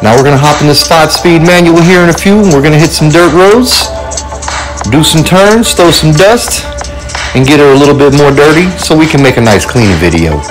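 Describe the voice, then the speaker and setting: Clear music plays behind the speaker. He, a man, talks at a fairly quick pace. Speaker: vehicle vlogger. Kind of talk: casual vlog chat. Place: open country. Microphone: phone near.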